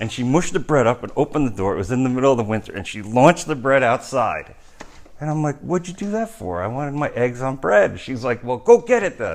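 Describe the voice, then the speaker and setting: With an American accent, the speaker talks at a very fast pace with lively intonation over noticeable background noise. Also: man, medium pitch for a man. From New York, USA. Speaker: sculptor. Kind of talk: casual storytelling anecdote.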